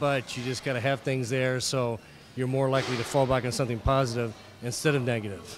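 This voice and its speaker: A man speaks very fast at a medium pitch with fairly even intonation, with noticeable background noise and audible room echo. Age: 40s. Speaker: bodybuilding competitor. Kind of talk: interview. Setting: gym.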